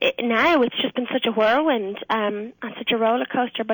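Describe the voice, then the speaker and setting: This woman has an Irish accent and a fairly high pitch. She talks at a fairly quick pace, and the sound is dry and close with no echo. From Ireland. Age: 20s. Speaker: singer. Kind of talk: radio interview answer.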